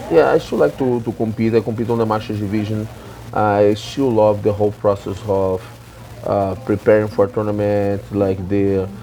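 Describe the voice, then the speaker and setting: Against noticeable background noise, a man talks at a moderate pace in a fairly low pitch with fairly even intonation. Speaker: jiu-jitsu professor. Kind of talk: interview.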